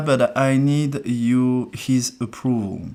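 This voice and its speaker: Speaking very slowly, the male voice comes with a French accent. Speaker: numerologist. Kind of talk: live stream reading. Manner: hesitant, many fillers.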